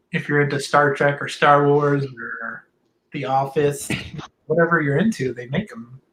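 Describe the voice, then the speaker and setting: A man with an American accent speaks at a fairly high pitch with ordinary pitch variation. His loudness rises and falls in big swings. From Boston then Orlando, Florida. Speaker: painter. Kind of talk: casual interview chat.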